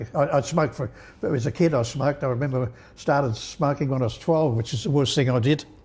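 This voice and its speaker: Fairly quick, somewhat breathy speech with ordinary pitch variation. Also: man. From England. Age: 80s+. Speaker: interviewee sharing life story. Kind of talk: casual interview chat. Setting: podcast recording. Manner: halting, many repeated words.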